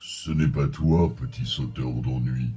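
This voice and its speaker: Soft-spoken and fairly slow, a man does a put-on character voice at a very deep, low pitch, with faint music in the background. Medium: audio drama. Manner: slow, soft, wise.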